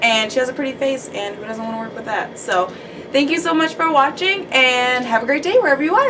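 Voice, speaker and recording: Animated and very fast, a woman with a Minnesotan accent talks at a high pitch with very wide pitch swings over noticeable background noise. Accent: Minnesotan, self-described as horrible. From US Midwest, Minnesota. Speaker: beauty YouTuber, makeup artist. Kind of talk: casual chat during makeup tutorial.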